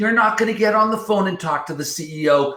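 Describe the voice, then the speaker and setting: Over noticeable background noise, a man with a high pitch uses a raised, projected voice, lively intonation and a fairly quick pace. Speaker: software company executive. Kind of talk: webinar presentation. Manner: loud; animated.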